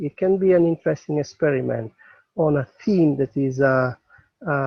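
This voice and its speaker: Speaking at a fairly slow pace, a man with a non-native accent has a fairly high pitch and a somewhat breathy sound. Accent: foreign accent in English. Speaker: psychotherapist. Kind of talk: webinar invitation. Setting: outdoors in the mountains. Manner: halting.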